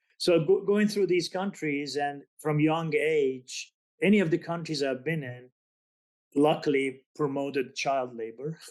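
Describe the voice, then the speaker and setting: Speaking at a fairly slow pace against a quiet background, a man with a non-native accent uses a fairly high pitch and ordinary pitch variation. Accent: foreign. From Azerbaijan, Iran and Turkey. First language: Azeri. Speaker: business author. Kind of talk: podcast interview. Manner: halting.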